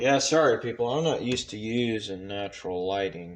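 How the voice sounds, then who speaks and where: Over noticeable background noise, a man speaks at a moderate pace, his fairly low pitch showing ordinary variation. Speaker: YouTuber reading magazines aloud. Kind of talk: casual vlog chat.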